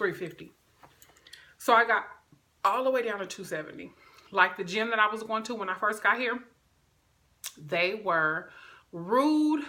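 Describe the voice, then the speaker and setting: A loud woman at a moderate pace, fairly high-pitched, with a bright, sharp, animated tone, lively intonation, and long, frequent pauses. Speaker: video blogger. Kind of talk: casual vlog talk.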